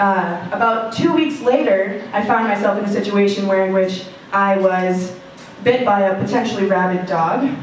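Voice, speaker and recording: Against noticeable background noise and audible room echo, the speaker talks at a moderate pace with ordinary pitch variation. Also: woman. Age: 20s. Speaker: student storyteller. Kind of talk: personal storytelling.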